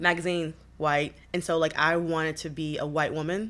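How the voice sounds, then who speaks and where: A woman with an American accent has a very deep, low pitch and monotone, flat intonation. She speaks at a moderate pace in a very clean recording with a silent background. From US Midwest, Detroit. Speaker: activist, model and author. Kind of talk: casual interview chat. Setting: in-person recording in New York.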